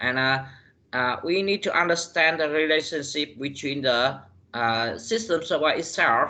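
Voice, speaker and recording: A man's fairly high voice with a non-native accent, ordinary pitch variation, and a fairly slow pace. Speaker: university lecturer. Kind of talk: lecture. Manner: halting, many fillers.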